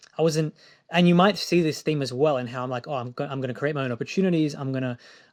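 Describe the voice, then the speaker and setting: With an Australian accent, a man talks at a very fast pace in a fairly high pitch, his intonation fairly even. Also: very clean recording, silent background. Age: 20s. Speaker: film director. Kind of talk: interview.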